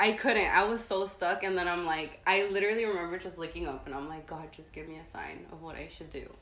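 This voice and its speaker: Speaking at a fairly quick pace with audible room echo, a woman uses a medium pitch and ordinary pitch variation. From San Diego, California, born in Tijuana, Mexico. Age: 20s. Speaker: artist. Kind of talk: casual interview chat.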